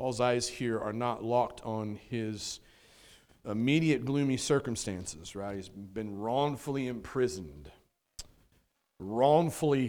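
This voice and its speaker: A man speaks very slowly at a medium pitch with ordinary pitch variation, and the room echo is audible. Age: 40s. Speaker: pastor. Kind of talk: Sunday sermon, vivid storytelling of Paul's final moments. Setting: church. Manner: warm, conversational preaching with filler words and rhetorical 'right?'.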